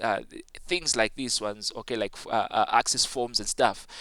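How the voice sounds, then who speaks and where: A man's bright, sharp tone comes through on a very clean recording with a silent background. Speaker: ICT teacher. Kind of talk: tutorial. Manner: halting with many fillers.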